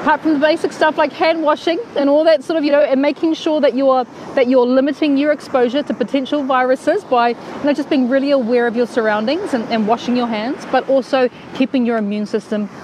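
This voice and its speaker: A woman's high-pitched voice at a very fast pace, with noticeable background noise. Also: ordinary pitch variation, dry sound with no echo. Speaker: cooking show host. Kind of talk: casual live stream chat. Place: beach. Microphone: earbuds.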